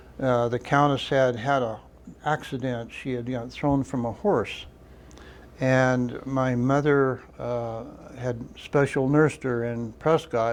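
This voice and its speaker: Speaking very slowly with fairly even intonation, a man of medium pitch has an American accent. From Arizona (Crown King). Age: 70s. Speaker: local old-timer. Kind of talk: oral history interview. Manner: halting, many fillers.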